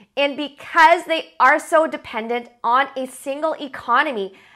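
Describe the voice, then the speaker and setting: Projecting a raised voice with lively intonation, a woman speaks in a bright, sharp tone against a quiet background. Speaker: presenter. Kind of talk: educational commentary. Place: home room. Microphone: lapel.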